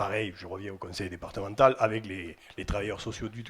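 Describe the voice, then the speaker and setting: The voice is somewhat breathy, in a southwestern French accent. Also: man. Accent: southwest French. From southwest France, Albi. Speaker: housing company executive. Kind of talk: interview.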